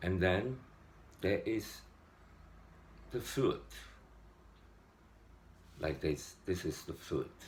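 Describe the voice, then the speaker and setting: Pausing long and often, a man speaks at a very slow pace. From Hong Kong. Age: 60s. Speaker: meditator. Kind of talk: casual spiritual talk to camera.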